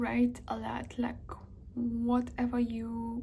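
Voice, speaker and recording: A woman with a non-native accent over noticeable background noise. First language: not English or Spanish. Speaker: language-learning vlogger. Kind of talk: casual tutorial vlog. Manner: hesitant, many filler ums.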